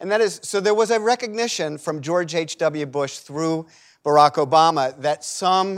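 With a plain, everyday voice, a man talks at a moderate pace with ordinary pitch variation. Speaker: foreign policy scholar. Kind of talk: panel talk. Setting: auditorium with live audience.

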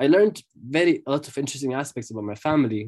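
Against a quiet background, a man with an Arabic accent talks at a fairly quick pace in a dark, mellow tone. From Jerusalem, Palestine. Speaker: freelance journalist. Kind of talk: interview conversation. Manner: halting, with many fillers and repetitions.

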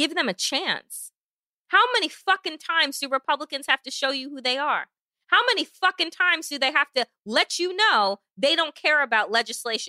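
With a bright, sharp tone and a raised, projected voice, a woman talks at a fairly quick pace, her pitch swinging very widely, in a dry, close sound with no echo. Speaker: podcast co-host. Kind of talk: angry rant. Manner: heated and forceful.

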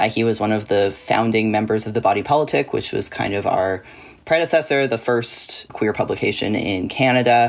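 Here is a man with an ordinary speaking voice at a medium pitch. He moves at a fairly quick pace with ordinary pitch variation. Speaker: journalist or media commentator. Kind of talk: casual chat.

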